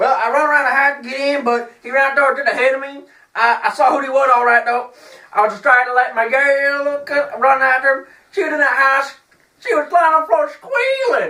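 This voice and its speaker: A woman's put-on character voice in a strong Southern US accent, mumbling at a high pitch and a fairly quick pace. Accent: heavy, mumbled Southern drawl. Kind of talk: comic overacting. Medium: comedy sketch. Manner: mumbling, garbled, belligerent.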